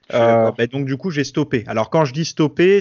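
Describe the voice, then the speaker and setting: This man's voice sits fairly high in pitch. He talks at a moderate pace. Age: 30s. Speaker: fitness YouTuber and podcaster. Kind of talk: casual interview. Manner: hesitant, many filler words.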